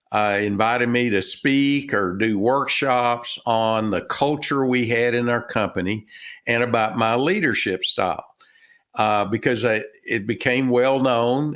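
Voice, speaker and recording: Recorded very cleanly against a silent background, a man with a Texan accent speaks at medium pitch and a fairly slow pace with ordinary pitch variation. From Texas. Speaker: retired business owner and author. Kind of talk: interview. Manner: halting, many fillers.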